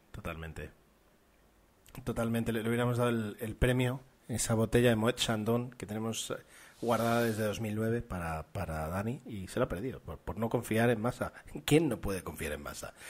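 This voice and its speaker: A man with a Spanish accent speaks at a fairly quick pace, his medium pitch moving with ordinary variation. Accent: Spain Spanish. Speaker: podcast host. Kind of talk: casual chat.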